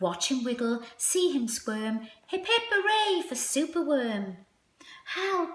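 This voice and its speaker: A woman uses a squeaky, put-on character voice, speaking at a fairly slow pace with very wide pitch swings. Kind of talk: bedtime story. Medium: read story. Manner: warm, rhythmic.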